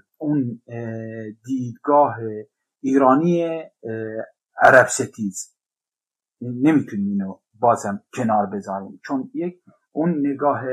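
Using lively intonation, a man speaks very slowly at a medium pitch. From Iran. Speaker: podcast guest. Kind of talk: casual discussion podcast.

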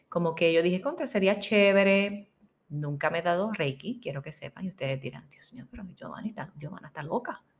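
The speaker sounds animated and somewhat breathy, with lively intonation. Loudness swings widely throughout. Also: woman. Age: 40s. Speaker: podcast host and spiritual healing coach. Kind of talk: inspirational monologue.

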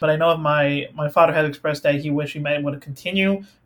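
Talking at a very fast pace over noticeable background noise, a man with an American accent has a fairly high pitch. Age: 20s. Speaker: college student. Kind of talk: interview. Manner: hesitant, fillers.

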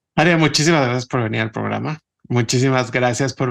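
A man with an unremarkable speaking voice at a medium pitch. His intonation stays fairly even. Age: 30s. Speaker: podcast host. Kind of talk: interview.

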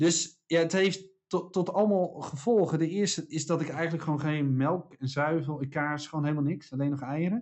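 A man with an unremarkable speaking voice, fairly high in pitch, with fairly even intonation, a moderate pace and hardly any pauses. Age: 40s. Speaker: podcast co-host, speaker and author. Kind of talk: casual chat.

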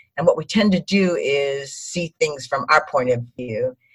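A woman speaks at a moderate pace with a very deep, low pitch and ordinary pitch variation. Her voice is somewhat breathy. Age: 60s. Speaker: speaker and image consultant. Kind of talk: casual interview chat. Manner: calm and upbeat.

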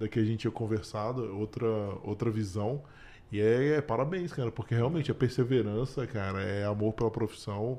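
This man's dark, mellow voice moves along fairly quickly. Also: medium pitch for a man, ordinary pitch variation, quiet background. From Brasília, Brazil. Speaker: podcast host. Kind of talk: casual interview.

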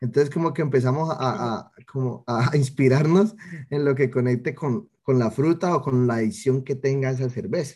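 A man with a Cali accent speaks at a medium pitch and moderate pace, with ordinary pitch variation. His tone is dark and mellow and somewhat breathy. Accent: Colombian Spanish (Cali, caleño). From Cali, Colombia. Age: 20s. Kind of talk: interview.

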